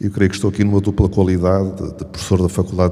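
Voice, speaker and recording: A man with a European Portuguese accent talks at a very fast pace in a very deep, low pitch. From Portugal. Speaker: law professor and competition authority head. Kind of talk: panel talk. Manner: halting, with fillers.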